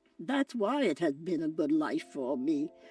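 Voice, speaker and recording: With music in the background, a woman talks at a fairly slow pace, her pitch swinging very widely. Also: dry, close sound with no echo. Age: 80s+. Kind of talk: interview answer.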